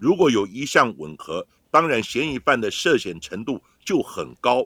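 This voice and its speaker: Male voice with a bright, sharp tone and vocal fry, a fairly slow pace, dry and close with no echo. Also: very clean recording, silent background. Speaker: forensic expert, podcast host. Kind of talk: scripted narration.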